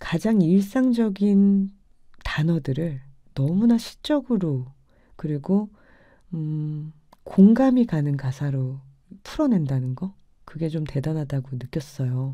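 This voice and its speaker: In a quiet background, a woman with a very deep, low pitch speaks at a very slow pace, with very wide pitch swings and long, frequent pauses. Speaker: radio DJ and musician; radio DJ. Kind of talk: late-night radio show. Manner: stumbling over words. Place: home room. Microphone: studio mic.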